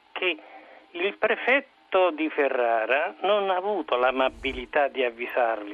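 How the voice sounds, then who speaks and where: This man's pitch swings very widely as he talks. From Rome. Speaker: caller. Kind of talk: opinionated call-in comment. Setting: phone call.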